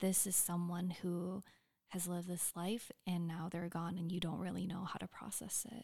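In a dark, mellow tone, a woman speaks with a fairly low pitch and a somewhat breathy quality. Her intonation is flat and monotone, and her pace is moderate. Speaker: medical student. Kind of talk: casual interview conversation. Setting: at home.

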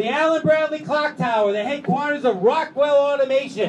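An animated man speaks at an extremely high pitch over noticeable background noise. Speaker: city commissioner. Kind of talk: speech at public event. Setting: stage with audience.

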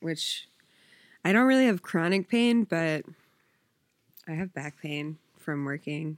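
A woman speaks at a fairly slow pace in an American accent, her pitch fairly low and its variation ordinary, on a very clean recording with a silent background and a dry, close sound with no echo. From South Jersey, US. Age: 20s. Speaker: bartender. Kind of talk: casual chat.

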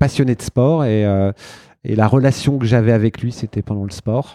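Recorded dry and close with no echo, a man speaks at a moderate pace and medium pitch with ordinary pitch variation. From France, Burgundy, Marseille and Saint-Étienne. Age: 40s. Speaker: event organiser. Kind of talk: interview. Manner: halting.

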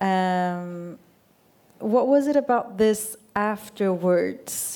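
A woman's medium-pitched voice, dark and mellow in tone, with a Swedish accent. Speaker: radio journalist. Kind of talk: onstage interview. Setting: stage with audience.

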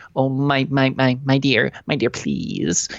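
A put-on character voice, whiny and pitched low-to-middle, carries the whole clip.

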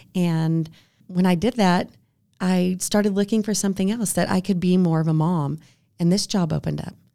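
At a moderate pace, a woman of medium pitch speaks in a dark, mellow tone with fairly even intonation, in a very clean recording with a silent background. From Texas Panhandle, Amarillo. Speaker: psychology professor. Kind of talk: casual chat. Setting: studio.

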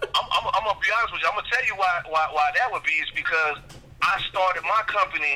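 Very fast male speech against noticeable background noise. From Jacksonville, Florida (north side). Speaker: club promoter and entertainment businessman. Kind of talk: casual interview.

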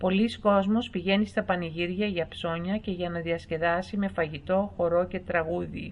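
Fairly low in pitch, a woman talks at a fairly slow pace with hardly any pauses and fairly even intonation, in a normal speaking voice. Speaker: voice-over narrator. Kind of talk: documentary-style educational narration, read aloud. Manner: even, measured, formal, clear pacing.

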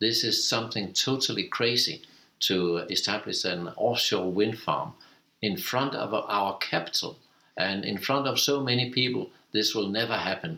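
A man with a Danish accent speaks at a moderate pace in a bright, sharp tone. His loudness stays very even, and his pitch varies in an ordinary way. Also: medium pitch for a man. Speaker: cooperative chair. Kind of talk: interview. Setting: office.

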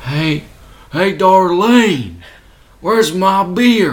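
A man doing a cartoonish character voice at a high pitch. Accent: Southern US. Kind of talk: cartoonish caricature.

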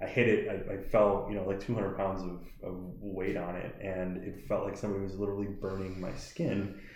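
A man with an American accent speaks fairly quickly in a fairly low, monotone voice. Audible room echo surrounds his flat delivery. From US Midwest, Milwaukee area. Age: 30s. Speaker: CBD shop owner. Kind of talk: podcast interview.

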